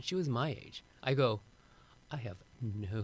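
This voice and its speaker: The man's voice sits at medium pitch with ordinary pitch variation. He talks at a moderate pace. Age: 60s. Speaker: avian expert and author, former chemist. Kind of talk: podcast interview. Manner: halting, many repeated words and fillers.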